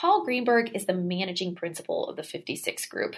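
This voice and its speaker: Somewhat breathy, a woman of medium pitch speaks at a moderate pace on a very clean recording with a silent background. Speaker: podcast host. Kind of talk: interview.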